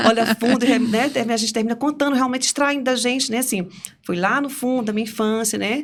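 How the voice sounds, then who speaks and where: Her pitch high and her intonation fairly even, a woman talks at a fairly quick pace. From Brazil, interior of Piauí. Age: 50s. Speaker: podcast guest, career changer. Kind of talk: interview conversation.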